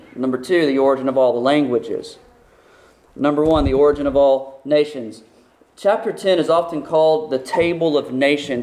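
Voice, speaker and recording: An ordinary speaking voice, a man with an American accent and fairly high pitch. He moves at a fairly quick pace with ordinary pitch variation. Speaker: pastor. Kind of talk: sermon.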